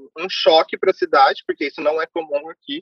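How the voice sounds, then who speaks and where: A man's high pitch with ordinary pitch variation. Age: 20s. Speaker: immigrant interviewee. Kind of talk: casual interview.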